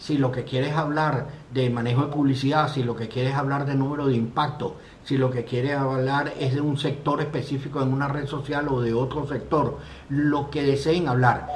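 The intonation stays monotone and flat. Noticeable background noise and audible room echo surround the voice. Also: man, fairly high pitch for a man, moderate pace. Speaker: live stream host. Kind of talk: casual chat.

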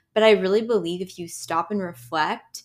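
In a normal speaking voice, the speaker's pitch varies in an ordinary way at a moderate pace. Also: woman. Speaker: podcast host. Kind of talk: casual chat. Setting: studio.

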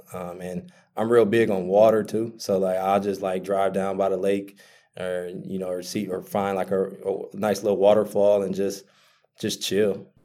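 A man's fairly low, dark, mellow voice with an American accent, monotone and flat in intonation, at a moderate pace, in a very clean recording with a silent background. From Milwaukee, Wisconsin. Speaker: startup founder. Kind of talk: interview. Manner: casual, many fillers.

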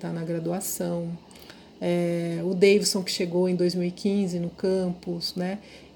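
Speaking very slowly in a fairly low pitch, a woman keeps a monotone, flat intonation while her loudness swings widely. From interior of São Paulo state, Brazil. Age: 50s. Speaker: professor. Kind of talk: interview.

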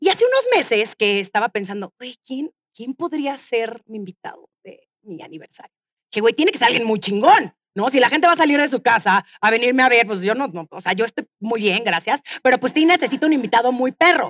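The sound is dry and close, with no echo. The speaker, in a Mexican accent, talks at a fairly quick pace with lively intonation and big swings in loudness. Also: woman, high pitch for a woman. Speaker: podcast host. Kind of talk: live interview before audience; storytelling monologue. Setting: stage with audience.

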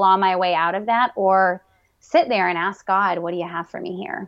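A woman with an unremarkable speaking voice talks at a moderate pace, her pitch medium and her intonation fairly even. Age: 30s. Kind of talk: interview.

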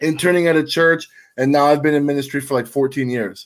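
Here is a man with an ordinary speaking voice at a fairly high pitch. He talks at a fairly quick pace with fairly even intonation. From Tampa, Florida (Cuban-American). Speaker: pastor. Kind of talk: casual chat.

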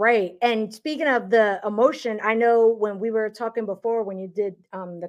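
Against a quiet background, a woman with an American accent speaks at a moderate pace in a plain, everyday voice, fairly high in pitch with ordinary pitch variation. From New York City. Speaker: podcast host. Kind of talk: casual interview chat.

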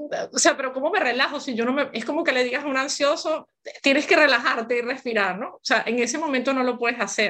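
In a bright, sharp tone, the voice moves at a fairly quick pace with ordinary pitch variation. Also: woman. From Venezuela. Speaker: gynecologist and author. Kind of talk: interview conversation.

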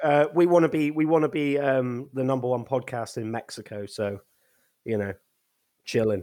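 With an English accent, the speaker keeps a moderate pace and ordinary pitch variation, broken by long, frequent pauses. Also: man, medium pitch for a man. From England. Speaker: podcast host. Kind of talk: casual chat. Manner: animated.

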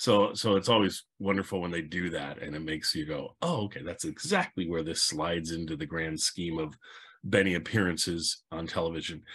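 With a very deep, low pitch, a man talks fairly quickly and with fairly even intonation against a quiet background. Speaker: podcast host. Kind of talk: casual podcast intro chat. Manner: friendly, conversational, slightly hesitant.

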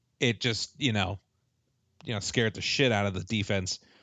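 Bright, sharp tone from a man, dry and close with no echo, over a quiet background. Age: 30s. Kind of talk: casual chat.

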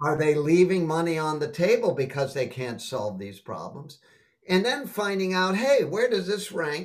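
A man talks at a moderate pace with an American accent. His voice is high-pitched, with very wide pitch swings. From Boston, Massachusetts, US. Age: 70s. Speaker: sales trainer. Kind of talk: interview.

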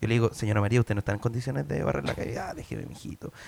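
With a Chilean accent, this man talks at a fairly low pitch, using lively intonation and some vocal fry. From Chile, Puente Alto. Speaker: comedian. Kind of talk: casual chat; comedic debate.

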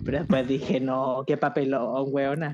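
A woman talks in an animated tone at a moderate pace. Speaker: podcast co-host. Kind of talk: casual comedic chat. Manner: animated, joking.

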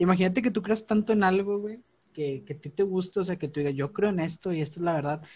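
Against a quiet background, a man talks at a very fast pace. His pitch varies in an ordinary way. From Monterrey, northern Mexico. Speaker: podcast co-host. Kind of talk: casual chat.

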